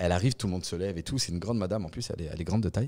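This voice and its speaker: Over a silent background in a very clean recording, a man speaks in a very deep, low voice with a dark, mellow tone and ordinary pitch variation. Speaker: podcast guest, real estate professional. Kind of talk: casual interview chat. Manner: animated.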